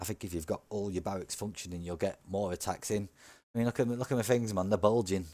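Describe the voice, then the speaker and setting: This man speaks with a Yorkshire accent at a fairly low pitch. The recording is very clean, with a silent background. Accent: northern English (Yorkshire). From Yorkshire, northern England. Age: 40s. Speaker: gaming youtuber. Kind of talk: gameplay commentary. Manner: casual, animated.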